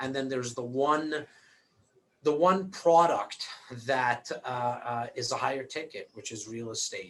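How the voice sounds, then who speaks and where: In a normal speaking voice with a Canadian accent, a man talks at a moderate pace and medium pitch, with ordinary pitch variation. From Toronto, Canada. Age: 40s. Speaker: real estate broker and investor. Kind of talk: interview. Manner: repetitive, restarting words often.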